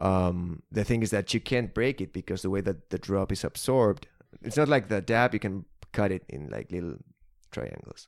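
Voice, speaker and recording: Lively in intonation and marked by vocal fry, the voice moves at a moderate pace on a very clean recording with a silent background. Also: man, fairly low pitch for a man. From Argentina. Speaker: musician. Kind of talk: casual chat.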